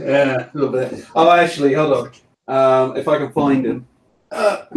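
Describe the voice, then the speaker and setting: Speaking in an English accent, a man keeps a fairly high pitch and fairly even intonation. His pace is moderate. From England, small island off the coast. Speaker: 3D sculptor. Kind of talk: casual chat.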